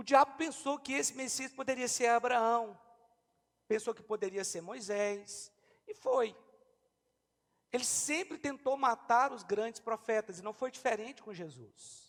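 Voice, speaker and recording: Extremely high-pitched, the man speaks at a fairly slow pace with long, frequent pauses and big swings in loudness. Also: ordinary pitch variation. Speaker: pastor. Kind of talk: sermon.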